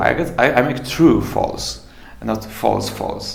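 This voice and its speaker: A man with a Polish accent at a fairly slow pace, amid noticeable background noise and audible room echo. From Poland. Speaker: musician and fairy tale writer. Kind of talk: interview. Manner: halting.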